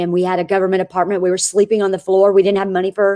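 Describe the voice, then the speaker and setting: This woman speaks at a medium pitch with a dark, mellow tone, and the sound is dry and close with no echo. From Florida, small town. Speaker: network marketing entrepreneur. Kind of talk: interview. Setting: live video stream. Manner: animated.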